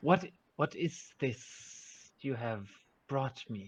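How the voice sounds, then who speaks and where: Using a put-on character voice, a man speaks at a very slow pace in a medium pitch with lively intonation. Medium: actual play. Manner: formal, questioning.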